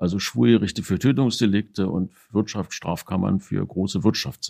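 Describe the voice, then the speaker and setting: A man's fairly low, dark, mellow voice with vocal fry at a moderate pace. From Berlin, Germany. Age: 60s. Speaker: retired investigating judge. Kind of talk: interview recollection. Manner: formal.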